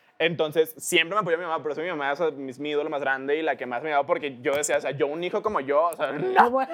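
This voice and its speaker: Over noticeable background noise, a man talks at a very fast pace in a fairly high pitch, with ordinary pitch variation. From Mexico. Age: 20s. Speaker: internet celebrity. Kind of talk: casual interview.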